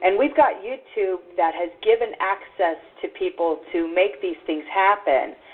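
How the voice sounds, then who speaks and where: A woman at medium pitch with an American accent, music in the background. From Texas. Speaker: internet radio host. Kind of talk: podcast interview.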